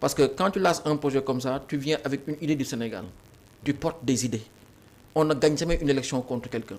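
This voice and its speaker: A man with a fairly high voice talks very fast on a very clean recording with a silent background. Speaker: politician. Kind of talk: political interview.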